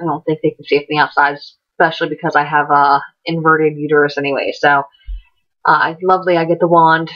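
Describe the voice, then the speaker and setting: A woman with a very deep, low pitch speaks very fast in a monotone, flat intonation. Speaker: vlogger. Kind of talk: personal vlog.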